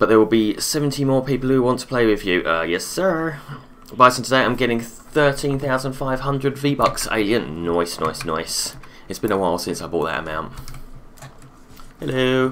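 The speaker has an Essex accent and lively intonation at a moderate pace. Light background noise is present. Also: man. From England, Essex; England. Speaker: gaming streamer. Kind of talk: live gameplay stream chat. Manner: animated. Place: home room.

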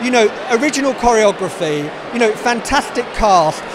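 A man talks at a moderate pace, the sound dry with no echo and noticeable noise behind him. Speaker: audience member. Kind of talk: interview answer. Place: hall. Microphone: handheld.

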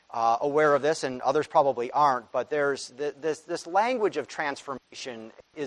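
A man at a moderate pace, with normal pitch movement. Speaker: conference speaker. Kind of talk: interview answer. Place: church. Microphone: lapel.

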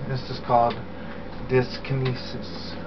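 Noticeable background noise runs under the voice. The pace is fairly slow. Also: man. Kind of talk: personal video diary explanation. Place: home room. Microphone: webcam.

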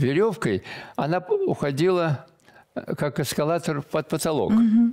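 Over a quiet background, the speaker goes at a fairly slow pace with lively intonation. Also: man. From Belarus, village. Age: 80s+. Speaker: military painter; guest. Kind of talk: interview. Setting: studio. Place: studio.

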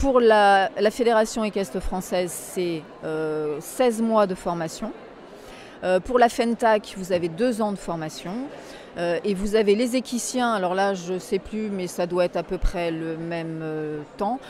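Speech unfolds at a very slow pace with ordinary pitch variation. Light background noise sits under a dry sound with no echo. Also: woman. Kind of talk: interview answer. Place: hall. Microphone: handheld.

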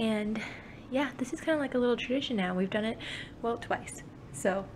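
Noticeable background noise runs under speech delivered fairly quickly. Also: woman. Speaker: vlogger. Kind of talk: casual vlog chat. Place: home room. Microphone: phone near.

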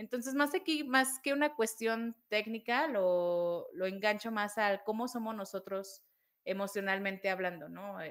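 Against a quiet background, a woman speaks at a fairly slow pace with a fairly high pitch and ordinary pitch variation. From Mexico. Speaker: programming educator. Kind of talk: casual chat. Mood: friendly, explanatory.

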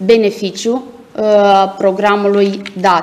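Her speech comes at a very slow pace. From Moldova. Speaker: small-business agency staff; presenter. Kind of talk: presentation. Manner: formal. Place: office.

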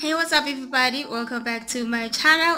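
A woman's high-pitched voice with ordinary pitch variation, faint music in the background. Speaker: beauty vlogger. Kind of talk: casual vlog chat. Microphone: phone near.

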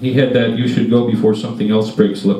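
A man's voice carries audible room echo and light background noise. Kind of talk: reading of a travel story. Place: meeting room.

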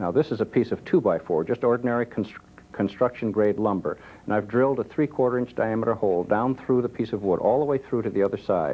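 The speech is delivered at a very fast pace with ordinary pitch variation. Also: man. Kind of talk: tutorial. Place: studio.

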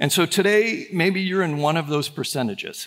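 A man delivers his words at a fairly slow pace, his pitch varying in an ordinary way, against a quiet background. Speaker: pastor. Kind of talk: sermon. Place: church. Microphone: headset.

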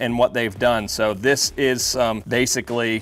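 Faint music in the background behind a male voice. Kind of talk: casual walkthrough tour. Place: garage. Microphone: lapel.

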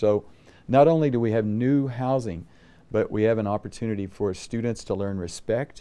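A moderate pace and a dark, mellow tone from a man. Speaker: university president. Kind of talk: interview. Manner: clear and concise. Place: office.

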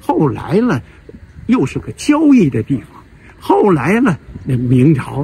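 With a Beijing accent, the speaker talks at a fairly slow pace while the pitch swings very widely. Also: man. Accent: Beijing Mandarin. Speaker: video channel host. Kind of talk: casual monologue about Beijing history. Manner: rambling, halting, repetitive. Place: garden. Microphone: phone near.

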